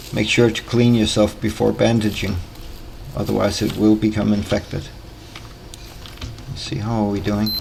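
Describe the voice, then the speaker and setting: Someone speaks in a Danish accent over noticeable background noise. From Denmark. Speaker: gaming YouTuber. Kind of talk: gameplay tutorial commentary. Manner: hesitant, with filler pauses.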